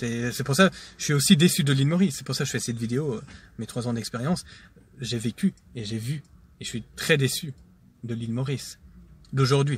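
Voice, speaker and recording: A man with a medium-pitched, somewhat breathy voice talks at a fairly quick pace with ordinary pitch variation. Long, frequent pauses break up his speech, and his loudness swings widely. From Switzerland, Geneva. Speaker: vlogger. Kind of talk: casual monologue vlog. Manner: hesitant, many fillers.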